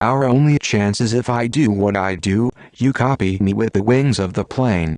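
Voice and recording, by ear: A man uses a put-on character voice at a medium pitch. His pace is moderate.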